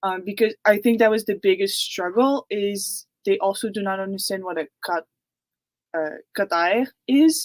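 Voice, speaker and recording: On a very clean recording with a silent background and a dry, close sound with no echo, a woman with a Quebec accent speaks at medium pitch and a moderate pace with ordinary pitch variation. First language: French. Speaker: university student. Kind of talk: panel Q&A answer. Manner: hesitant, many fillers.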